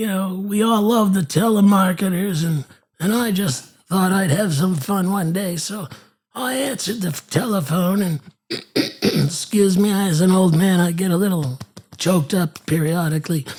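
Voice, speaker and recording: A man's put-on character voice, high in pitch. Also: moderate pace. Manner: halting, hesitant.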